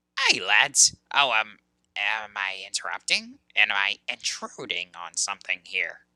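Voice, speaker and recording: The speaker uses a put-on character voice at a low pitch. The pace is fairly slow. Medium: game stream. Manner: folksy, hesitant.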